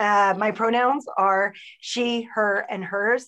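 A woman speaks with an ordinary speaking voice at medium pitch. Her intonation stays fairly even over a quiet background. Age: 40s. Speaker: CEO and social entrepreneur. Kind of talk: interview.

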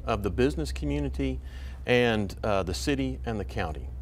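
A man with a Texan accent, vocal fry and very wide pitch swings, amid audible room echo. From Waco, Texas. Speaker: appeals court judge and author. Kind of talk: interview. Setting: studio.

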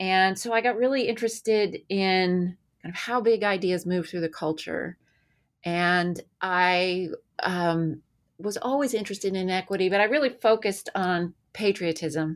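On a very clean recording with a silent background, a woman with a General American accent uses a normal speaking voice at medium pitch and a moderate pace. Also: ordinary pitch variation. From California, Berkeley. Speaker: professor, author. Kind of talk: interview.

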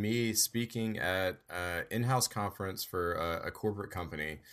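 Fairly slow speech from a man, the recording very clean and the background silent. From Louisiana. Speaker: brand designer and conference organizer. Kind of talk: interview. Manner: halting, many restarts.

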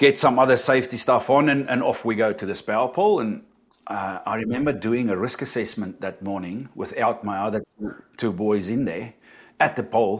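Against a quiet background, a man with a South African accent speaks at medium pitch. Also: ordinary pitch variation, moderate pace. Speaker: inspirational speaker and electrical shock survivor. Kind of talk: casual interview, telling a personal story.

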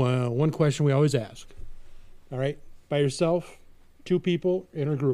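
This man's voice has a dark, mellow tone and a fairly high pitch with ordinary variation. He speaks at a fairly quick pace. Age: 50s. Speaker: podcast host. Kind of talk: casual chat.

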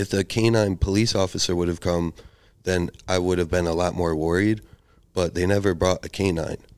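Speaking in a Chicago accent, a man has a very deep, low pitch and flat, monotone intonation. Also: moderate pace. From US Midwest (Chicago area, Illinois). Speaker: former drug trafficker telling his story. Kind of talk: casual conversational storytelling. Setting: in-person podcast recording.

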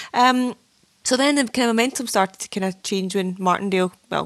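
A woman speaks with a Scottish accent. The sound is dry and close, with no echo. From Scotland. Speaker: football club staff. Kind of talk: casual chat. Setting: video call.

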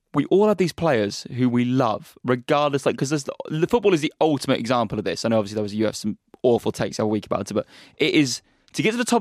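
A man speaks very fast in a southern English accent, his intonation lively. The recording is very clean with a silent background and a dry, close sound without echo. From Norwich, England. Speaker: football YouTuber and shirt collector. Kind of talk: casual chat.

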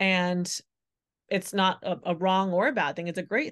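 Against a quiet background, a woman has an unremarkable speaking voice at medium pitch. Her intonation is fairly even. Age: 20s. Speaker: content creator and travel influencer. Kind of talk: casual chat.

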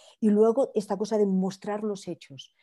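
A woman's medium-pitched voice with a dark, mellow tone, at a fairly slow pace, on a very clean recording with a silent background. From Spain, Barcelona. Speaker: life coach. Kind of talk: interview.

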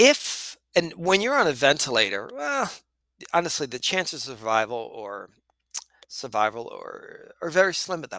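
A man with a fairly high pitch, vocal fry and a bright, sharp tone talks at a moderate pace, with very wide pitch swings and big swings in loudness. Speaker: pharmacist and podcast host. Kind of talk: angry rant, structured and impassioned monologue about pharma corruption. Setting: solo podcast recording. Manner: fired up, indignant, punchy and emphatic, swearing; conversational with filler words and ums.

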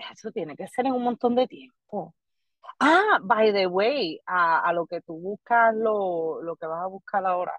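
Using an ordinary speaking voice, a woman talks at a fairly slow pace and medium pitch, with lively intonation and big swings in loudness. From Puerto Rico, Barranquitas. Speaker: comedian. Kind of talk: casual chat.

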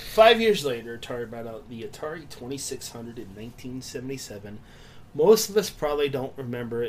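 A man talks at a moderate pace in a medium pitch, with lively intonation and big swings in loudness. Noticeable background noise runs underneath. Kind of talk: casual chat.

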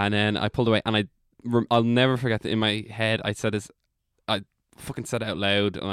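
Quiet surroundings with an unforced reading voice

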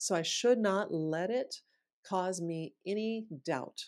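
A woman speaks in a plain, everyday voice at medium pitch with lively intonation, on a very clean recording with a silent background. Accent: American. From US Midwest, Sioux Falls, South Dakota. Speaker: author and voice expert. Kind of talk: interview.

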